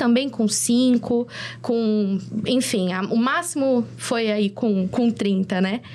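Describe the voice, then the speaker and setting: Noticeable noise is present in the background. The pitch moves in an ordinary way. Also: woman. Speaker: content creator and influencer. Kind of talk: videocast panel discussion. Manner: halting, many fillers and restarts.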